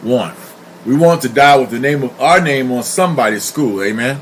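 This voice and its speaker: Speech moves at a moderate pace. Background noise is noticeable. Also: man. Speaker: pastor. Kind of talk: live stream monologue. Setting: live stream.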